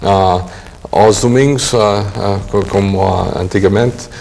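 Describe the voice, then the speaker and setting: A man with an English accent speaks in a fairly low pitch with fairly even intonation. Noticeable background noise runs underneath. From Massachusetts, US (Portuguese-speaking home). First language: English (speaking Portuguese). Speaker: professor. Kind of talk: interview. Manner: halting, many fillers.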